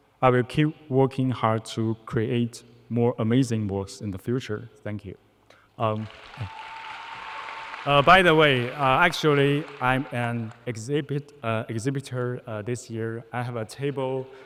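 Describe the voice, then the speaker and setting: A man talks at a medium pitch with ordinary pitch variation. His speech has long, frequent pauses, and there is noticeable background noise. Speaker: concept artist, award winner. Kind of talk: award acceptance speech. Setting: stage with audience. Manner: halting, many fillers.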